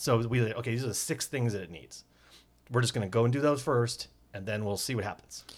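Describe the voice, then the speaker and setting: A man puts on a raspy character voice at medium pitch. He talks at a very fast pace with ordinary pitch variation. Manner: talking fast.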